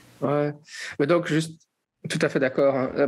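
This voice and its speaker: Against a quiet background, a man's speech moves along at a fairly quick clip. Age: 40s. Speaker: podcast host. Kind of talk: casual chat. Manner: halting.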